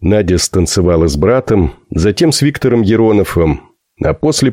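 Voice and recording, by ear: Against a quiet background, a natural voice reads aloud with lively intonation.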